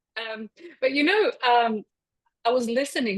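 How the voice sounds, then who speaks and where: Here a woman speaks with a Polish accent. Her pitch varies in an ordinary way. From Poland. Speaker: energy healer. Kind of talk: casual chat. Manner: halting.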